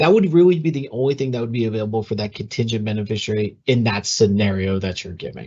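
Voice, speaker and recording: This man speaks very fast, with hardly any pauses and lively intonation. His voice is medium in pitch and somewhat breathy. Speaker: communications analyst for a retirement system. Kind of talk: webinar Q&A. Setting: online webinar. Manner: hesitant, many fillers.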